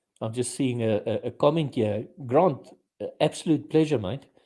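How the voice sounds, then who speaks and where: This man speaks with an Afrikaans South African accent. His tone is dark and mellow. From South Africa, Afrikaans. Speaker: podcast host. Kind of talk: casual chat.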